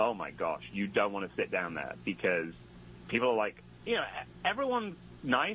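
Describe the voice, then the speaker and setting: A man speaks in a British accent at a moderate pace. He leaves long, frequent pauses. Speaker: comedian and rapper. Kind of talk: casual interview chat.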